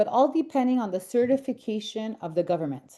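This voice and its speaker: A woman with a Quebec French accent speaks at a fairly quick pace with lively intonation. Her tone is dark and mellow, and her pitch fairly high. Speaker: senior housing advisor. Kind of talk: online webinar presentation.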